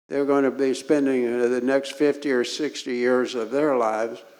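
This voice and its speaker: In a room with audible echo, a man speaks at a medium pitch and a fairly slow pace with fairly even intonation. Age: 80s+. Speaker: civil rights activist. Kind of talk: talk to a congregation. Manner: halting with frequent fillers.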